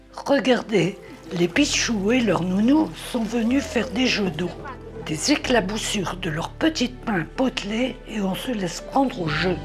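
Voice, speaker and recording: A woman at a very slow pace, fairly high in pitch and lively in intonation, with music in the background. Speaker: nursing home resident. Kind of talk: documentary voice-over narration.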